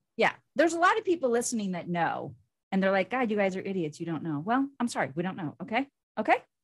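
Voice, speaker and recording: Talking at a very fast pace, a woman with an American accent uses a medium pitch, very wide pitch swings and an animated tone. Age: 50s. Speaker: podcast co-host. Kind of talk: casual chat.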